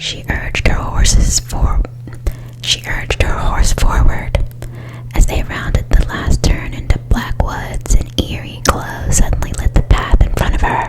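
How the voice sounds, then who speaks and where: Whispered speech from a woman, fairly slow, with noticeable background noise behind it. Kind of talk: whispered scary story reading. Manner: whispered, soft.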